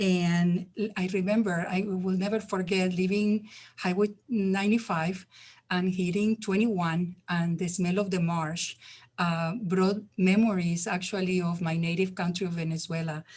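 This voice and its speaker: A woman with a non-native accent speaks at a fairly slow pace and medium pitch. Her voice is somewhat breathy, with monotone, flat intonation. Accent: foreign. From Spain. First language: Spanish. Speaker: community health worker ambassador. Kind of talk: testimony.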